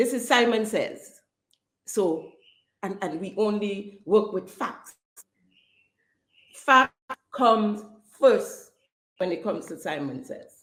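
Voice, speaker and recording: Passionate and at a very slow pace, a woman with a fairly high voice and lively intonation takes long, frequent pauses, her loudness swinging widely. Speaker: podcast host. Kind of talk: political commentary podcast. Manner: passionate, some stuttering.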